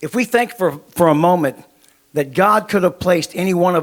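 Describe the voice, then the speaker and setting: An American accent from a man with a high pitch, ordinary pitch variation and a fairly quick pace. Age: 70s. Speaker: ministry leader preaching. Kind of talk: sermon with consecutive interpretation. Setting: church.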